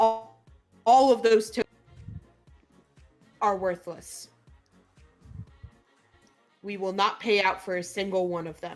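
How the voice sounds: In a put-on character voice, a female-sounding speaker booms out loud at a fairly slow pace and medium pitch, with long, frequent pauses over faint music in the background.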